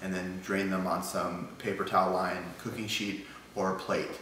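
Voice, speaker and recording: A man speaks with a very deep, low pitch. The audio has audible room echo and light background noise. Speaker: home cooking show host. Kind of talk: tutorial. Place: kitchen. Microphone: camera far.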